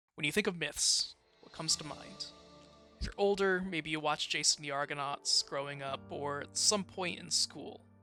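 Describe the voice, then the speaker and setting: A track of music runs underneath. The delivery is neither hurried nor slow. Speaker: student. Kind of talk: video essay narration. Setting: home recording, poor mic quality. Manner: some stuttering.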